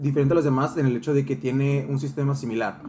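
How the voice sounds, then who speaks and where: Music plays in the background as a man with a Mexican accent speaks. He talks at a very fast pace with a fairly high pitch. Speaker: medical student podcast co-host. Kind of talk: casual chat.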